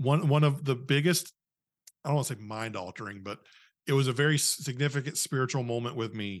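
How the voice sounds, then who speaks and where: Against a quiet background, a man talks at a fairly quick pace in a plain, everyday voice, medium in pitch and with ordinary pitch variation. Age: 30s. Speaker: podcast host and former youth leader. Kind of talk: casual chat.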